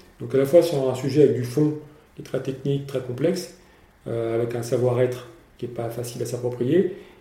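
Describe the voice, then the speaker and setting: Audible room echo surrounds a man speaking at a moderate pace, his medium pitch held in fairly even intonation. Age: 50s. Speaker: entrepreneur. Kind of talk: interview. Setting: company offices. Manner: halting, frequent repetitions.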